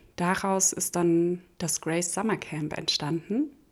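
Here a woman uses a normal speaking voice at a fairly low pitch. She speaks at a fairly slow pace with fairly even intonation. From Hesse, Germany (small village). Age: 30s. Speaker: startup accelerator program head. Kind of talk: interview. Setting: living room recording.

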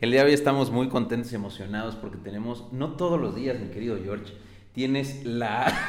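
Over noticeable background noise and audible room echo, a man talks at a fairly quick pace, his medium pitch showing ordinary variation. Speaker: podcast host. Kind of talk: casual interview chat.

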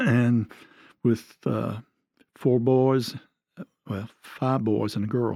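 A man with an Alabama accent talks very slowly, leaving long, frequent pauses. His tone is dark and mellow, with fairly even intonation. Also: medium pitch for a man. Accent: Southern US (Alabama). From Alabama (near Birmingham). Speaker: retired pastor. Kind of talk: casual interview.

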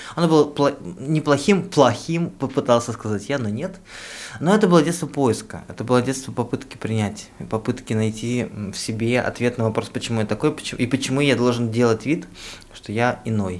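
Lively in intonation and fairly quick in pace, this is an unremarkable speaking voice. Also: man, medium pitch for a man. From Russian provinces. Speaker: podcast co-host. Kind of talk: casual chat.

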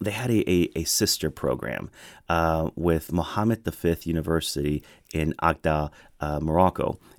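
A man's very deep, low voice at a moderate pace with ordinary pitch variation, in a dry, close sound with no echo and a very clean recording with a silent background. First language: Spanish. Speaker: government official. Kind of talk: radio interview.

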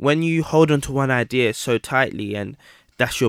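The sound is dry and close with no echo, on a very clean recording with a silent background. A man speaks in a London accent. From Southeast London (Camberwell/Peckham), British Ghanaian. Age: 20s. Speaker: entrepreneur, watch brand founder. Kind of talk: interview.

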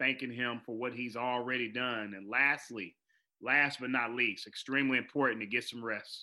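A man's bright, sharp voice at medium pitch and moderate pace, on a very clean recording with a silent background. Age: 40s. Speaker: educator and keynote speaker. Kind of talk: interview.

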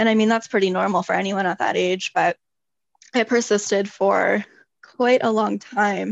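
Flat, monotone intonation from a woman at a medium pitch, delivered at a moderate pace. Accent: Canadian. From Toronto, Canada. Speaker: holistic nutritionist. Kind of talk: casual interview chat.

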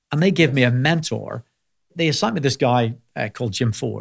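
Recorded very cleanly with a silent background and a dry, close sound with no echo, a man with a Belfast accent talks at a fairly quick pace. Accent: Belfast Northern Irish. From Northern Ireland, Belfast. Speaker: healthcare company CEO. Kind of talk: interview conversation.

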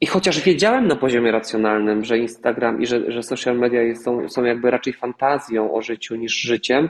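Speaking at a fairly quick pace with hardly any pauses, a man has an unremarkable speaking voice, medium in pitch with ordinary pitch variation. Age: 30s. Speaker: actor and singer. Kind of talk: casual chat.

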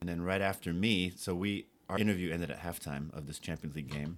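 On a very clean recording with a silent background, a man with an American accent and a very deep, low pitch talks at a very fast pace with ordinary pitch variation. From New York City. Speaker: futsal organizer. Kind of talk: casual chat.

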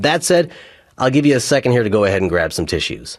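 A man at medium pitch, very fast pace and vocal fry, over a quiet background. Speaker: radio host. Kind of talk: radio DJ patter, upbeat and chatty between songs. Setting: studio. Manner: animated; warm, casual, friendly.

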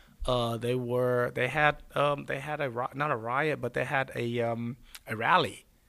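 A man with a Texan accent speaks at a fairly slow pace in a bright, sharp tone at a medium pitch, keeping his intonation fairly even. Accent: Texan American. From Texas Gulf Coast. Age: 40s. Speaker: former pro football player. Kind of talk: interview. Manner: halting.

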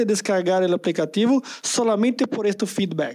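A high-pitched man at a fairly slow pace on a very clean recording with a silent background. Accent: Brazilian. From Brazil, São Paulo. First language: Portuguese (speaking Spanish). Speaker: tech presales manager. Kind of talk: interview.

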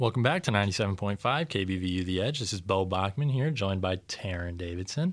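A man with an American accent, fairly low-pitched, talking very fast with lively intonation and hardly any pauses, in a very clean recording with a silent background. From Iowa, Storm Lake. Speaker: college radio host and football player. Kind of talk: casual radio show. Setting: radio studio.

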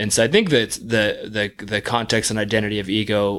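On a very clean recording with a silent background, a man with an unremarkable speaking voice and fairly low pitch speaks at a moderate pace. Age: 30s. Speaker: product designer. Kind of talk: casual interview.

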